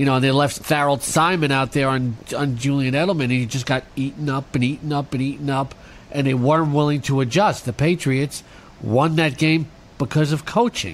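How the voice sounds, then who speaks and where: A man talks with an unremarkable speaking voice. His pitch is fairly high and his intonation fairly even. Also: moderate pace. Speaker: sports radio co-host. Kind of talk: heated argument over football.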